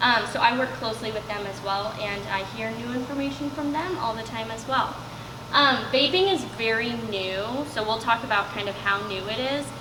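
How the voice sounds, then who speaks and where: Amid noticeable background noise and audible room echo, a woman speaks with lively intonation at a fairly high pitch. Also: moderate pace. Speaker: substance use educator. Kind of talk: presentation. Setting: room with live audience, no microphone. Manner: loud.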